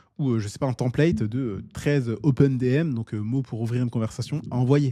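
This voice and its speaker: A man with a dark, mellow tone and medium pitch talks at a fairly quick pace with ordinary pitch variation. The recording is very clean, with a silent background. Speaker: online business coach. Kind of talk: tutorial. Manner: fast; casual, with filler words.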